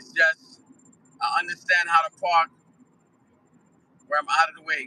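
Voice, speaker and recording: Speaking at a moderate pace in a New York accent, a man with a high pitch shows big swings in loudness in a dry, close sound with no echo. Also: ordinary pitch variation. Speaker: live streamer. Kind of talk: casual chat. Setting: in a car.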